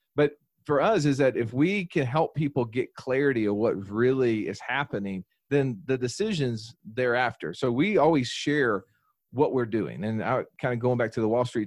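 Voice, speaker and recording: With a Southern US accent, a man talks at a medium pitch with lively intonation over a quiet background. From US South. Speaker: financial educator and podcaster. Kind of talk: podcast interview.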